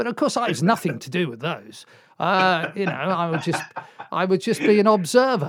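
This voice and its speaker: A man with a South Welsh accent speaks at a moderate pace in a high voice, his pitch swinging very widely. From South Wales, Swansea. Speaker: radio DJ. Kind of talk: casual chat.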